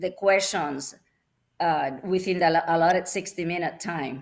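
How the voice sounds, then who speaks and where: A woman is speaking. Her pitch rises and falls in an ordinary way. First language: not English. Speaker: wine student. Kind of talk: panel discussion.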